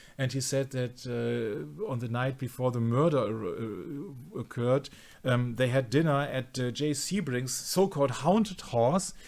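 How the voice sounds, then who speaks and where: A man with a non-native accent talks at a moderate pace. His intonation is lively. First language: not English. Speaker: conspiracy researcher. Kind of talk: casual discussion. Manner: halting, many fillers.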